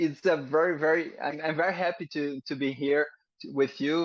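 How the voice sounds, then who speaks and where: A man's fairly high voice with a Portuguese accent, with fairly even intonation, against a quiet background. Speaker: military firefighter and rescue crewman. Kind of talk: casual interview. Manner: halting.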